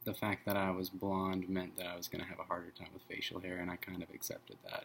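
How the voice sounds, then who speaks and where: At a very fast pace, a man with a very deep, low voice speaks in a monotone, flat way. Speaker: vlogger. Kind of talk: casual vlog. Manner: many fillers (um, uh). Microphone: bad quality camera.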